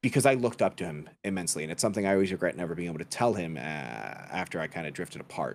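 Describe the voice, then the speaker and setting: With a very deep, low pitch and vocal fry, a man talks at a very fast pace with hardly any pauses and lively intonation. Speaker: podcast guest, content creator and voice actor. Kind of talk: casual chat. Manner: stutters sometimes; talks a lot.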